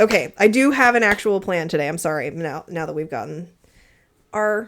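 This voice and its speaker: Lively in intonation, a woman with an American accent and an unremarkable speaking voice talks at a fairly quick pace and medium pitch. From Texas and Colorado. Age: 30s. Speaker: podcast co-host. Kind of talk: casual chat. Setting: home basement recording.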